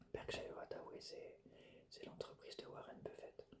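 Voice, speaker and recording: Soft-spoken whispering comes at a fairly slow pace. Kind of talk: whispered educational lecture; ASMR educational narration. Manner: whispered, soft.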